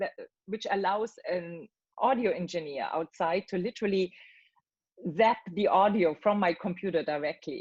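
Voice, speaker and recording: A woman at a medium pitch speaks with ordinary pitch variation and long, frequent pauses. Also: moderate pace. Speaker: voice actor. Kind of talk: interview answer. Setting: video call.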